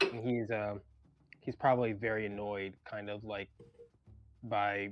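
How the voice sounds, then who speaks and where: Music can be heard in the background. The talking proceeds at a moderate pace. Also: man. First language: not English. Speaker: tabletop RPG player. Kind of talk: casual chat. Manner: halting.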